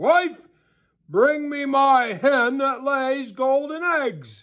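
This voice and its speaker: A man puts on a character voice, pitched extremely high and delivered very slowly. The recording is very clean, with a silent background. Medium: read story. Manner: booming, gruff.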